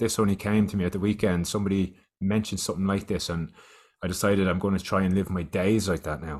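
On a very clean recording with a silent background, a man with an Irish accent talks at a fairly quick pace in a fairly low pitch. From Ireland. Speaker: youth wellbeing educator. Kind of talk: casual chat.

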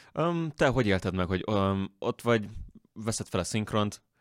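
A man speaks at a very fast pace. The sound is dry and close with no echo, on a very clean recording with a silent background. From rural Hungary. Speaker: podcast host. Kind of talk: casual interview.

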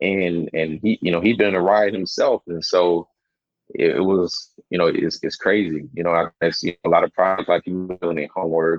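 A man with a Southern US accent speaks at a moderate pace in a very deep, low pitch with fairly even intonation. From South Carolina, US South. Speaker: documentary filmmaker and researcher. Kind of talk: casual chat.

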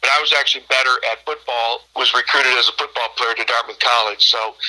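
A man with an American accent talks at a fairly quick pace at medium pitch, an ordinary speaking voice. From Michigan, Birch Run near Flint. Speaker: baseball coach. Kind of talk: interview.

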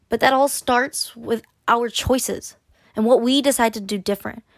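A woman with an ordinary speaking voice talks at a moderate pace, pitched fairly high. The sound is dry and close, with no echo. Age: 20s. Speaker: solo podcast host. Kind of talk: casual solo podcast monologue; encouraging pep talk urging listeners to try dating apps. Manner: chatty with frequent laughs and fillers; upbeat, coaxing and direct, addressing listener as a friend.

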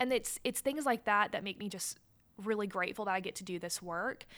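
A woman with an American accent speaks at a moderate pace in a medium pitch, using an ordinary speaking voice with lively intonation. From US South, Chattanooga, Tennessee. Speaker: school board member and real estate CEO. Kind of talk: interview.

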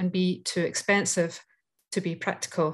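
Speaking at a fairly slow pace, a woman with a Scottish accent uses a medium pitch. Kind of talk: casual chat. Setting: video call.

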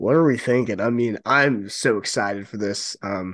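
A man with medium pitch and ordinary pitch variation, a normal speaking voice, against a quiet background. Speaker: podcast co-host. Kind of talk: casual chat.

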